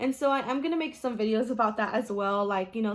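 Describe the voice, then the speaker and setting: This woman speaks in an American accent at a fairly quick pace. Her pitch is fairly high and her intonation fairly even. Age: 20s. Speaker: teacher. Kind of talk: vlog talk to camera. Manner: casual, hesitant with many fillers.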